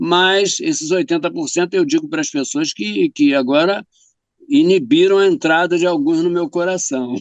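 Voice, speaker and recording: A high-pitched man at a moderate pace, very wide pitch swings, and a dry, close sound with no echo. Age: 70s. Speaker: writer and poet. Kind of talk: casual interview chat.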